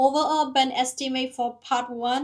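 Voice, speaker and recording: A woman speaks at a fairly slow pace in a high pitch. She has a non-native accent. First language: not English. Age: 30s. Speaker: nurse preparing for English exam, vlogger. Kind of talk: study vlog reading out AI feedback.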